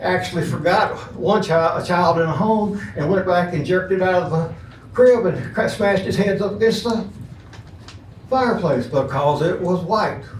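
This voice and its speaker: In an Alabama accent, a man speaks at a moderate pace and a high pitch with ordinary pitch variation. The room echo is audible and the background noise is noticeable. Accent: Southern US (Alabama). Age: 70s. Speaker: public commenter at city council. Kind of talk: public comment speech.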